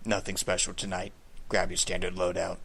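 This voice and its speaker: A put-on character voice from a man, very deep and low, raspy and gravelly, at a fairly quick pace over clear background noise. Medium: read story. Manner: blunt, tired, casual.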